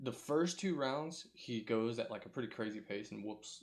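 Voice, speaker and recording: Mumbling at medium pitch, a man speaks with ordinary pitch variation. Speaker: MMA podcast host. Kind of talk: solo podcast recap. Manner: hesitant, many fillers.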